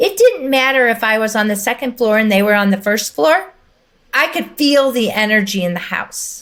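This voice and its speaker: The recording is very clean with a silent background. A woman talks at a moderate pace with a fairly high pitch, an animated tone and lively intonation. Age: 60s. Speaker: energy healer. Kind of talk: podcast interview.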